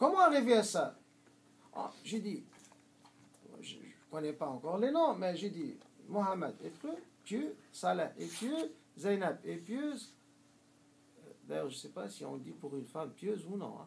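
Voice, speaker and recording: In a room with audible echo, a man speaks fairly slowly at a high pitch, with very wide pitch swings and long, frequent pauses. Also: big swings in loudness. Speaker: Islamic teacher. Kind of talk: lecture. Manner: halting, many hesitations.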